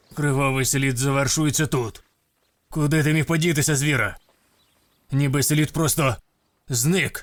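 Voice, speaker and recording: A man puts on a character voice, pitched fairly high, at a moderate pace. Long pauses come often. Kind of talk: comic overacting. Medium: fan dub. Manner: gruff, terse, self-serious.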